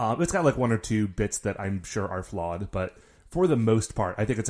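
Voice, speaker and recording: A man speaks at a fairly quick pace in a fairly low pitch, with a plain, everyday voice. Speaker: podcast host, guest. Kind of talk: casual chat.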